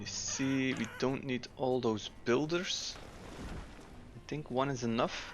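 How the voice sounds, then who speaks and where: A man at a medium pitch speaks very slowly, with long, frequent pauses and fairly even intonation. Background noise is noticeable. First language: Dutch. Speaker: gaming YouTuber. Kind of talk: gameplay commentary. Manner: casual, with frequent filler 'uh'.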